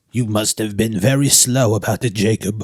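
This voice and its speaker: A man puts on a character voice at medium pitch, with fairly even intonation. He sounds shaky and moves at a moderate pace. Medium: read story. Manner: trembling, deferential.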